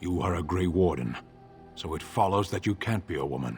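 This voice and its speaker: Putting on a character voice, a man speaks at a very deep, low pitch and a fairly quick pace over clear music in the background. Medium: video game. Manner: blunt, terse, deadpan.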